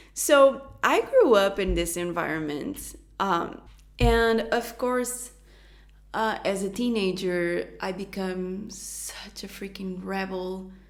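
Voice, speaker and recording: The woman speaks at a very slow pace with a Portuguese accent and a medium pitch. Her pitch variation is ordinary, and there is audible room echo. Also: big swings in loudness. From Portugal. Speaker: youtuber, astrologer. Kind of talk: personal testimony.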